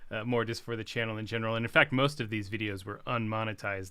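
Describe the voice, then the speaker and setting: A man speaks very fast at a medium pitch, his tone bright and sharp. The recording is very clean, with a silent background. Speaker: guitarist and music teacher. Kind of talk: livestream guitar tutorial. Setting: home livestream. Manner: quiet.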